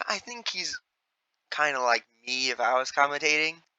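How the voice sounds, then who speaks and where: This man has a fairly high voice with a bright, sharp tone. The sound is dry and close, with no echo. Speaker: gaming YouTuber ranking sports commentators. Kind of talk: casual tier list commentary. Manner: excitable, casual.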